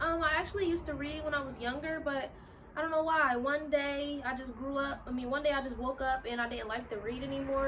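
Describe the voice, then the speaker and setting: Against noticeable background noise and audible room echo, a woman with high pitch speaks at a fairly quick pace in an animated tone with ordinary pitch variation. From US, Philadelphia (North Philly). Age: 20s. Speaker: YouTuber. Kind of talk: casual vlog talk to camera. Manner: casual, animated.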